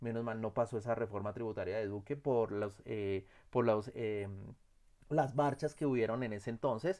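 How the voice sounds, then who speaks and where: A man speaks at medium pitch with a dark, mellow tone and ordinary pitch variation. The recording is very clean, with a silent background. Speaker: instructor. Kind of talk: lecture. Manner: fast; halting.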